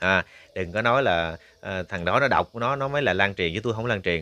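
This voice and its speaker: A man speaks at a very fast pace. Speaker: YouTube news commentator. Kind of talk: news commentary reading a complaint letter aloud. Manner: casual, many filler sounds.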